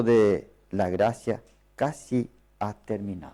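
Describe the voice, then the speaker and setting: A very slow man's voice with a non-native accent, fairly low in pitch, dark and mellow in tone, with ordinary pitch variation. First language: not Spanish (speaking Spanish). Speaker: preacher. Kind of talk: sermon. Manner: halting.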